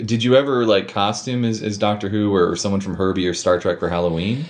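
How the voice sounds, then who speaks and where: A man with an ordinary speaking voice talks with a fairly low pitch and ordinary pitch variation. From Minnesota. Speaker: podcast host. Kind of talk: casual interview chat.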